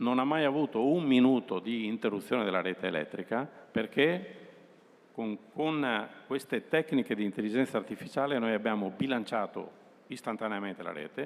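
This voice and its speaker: Speaking at a moderate pace with lively intonation, a man has a medium-pitched voice and an ordinary speaking voice. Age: 60s. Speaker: utility company executive. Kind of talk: presentation to students.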